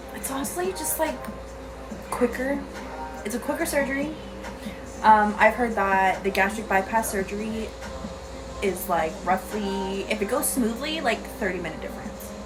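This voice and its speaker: With an American accent, a woman speaks at a moderate pace in a fairly high voice with lively intonation and long, frequent pauses, as music plays in the background and room echo is audible. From US West Coast, Sierra Madre, California. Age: 20s. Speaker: vlogger. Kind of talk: casual vlog.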